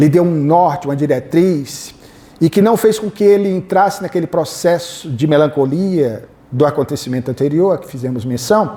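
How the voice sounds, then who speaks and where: A man's intonation rises and falls in a lively way as he speaks at a medium rate. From Northeast Brazil, Fortaleza, Ceará. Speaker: spiritist lecturer and biographer. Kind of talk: lecture. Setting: hall with live audience, PA microphone.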